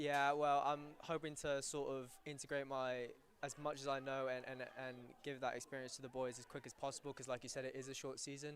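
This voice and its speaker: A man speaks in a British accent at a fairly high pitch. His pace is fairly quick and his intonation monotone and flat. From England. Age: 19. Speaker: university soccer player. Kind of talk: live interview during broadcast.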